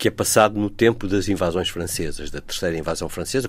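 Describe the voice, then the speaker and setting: The recording of this man is very clean, with nothing at all in the background. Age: 70s. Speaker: historian and author. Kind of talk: interview.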